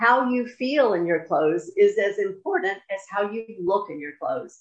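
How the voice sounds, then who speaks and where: A woman at medium pitch and a moderate pace, in an unremarkable speaking voice. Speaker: podcast host. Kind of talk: interview, friendly chat.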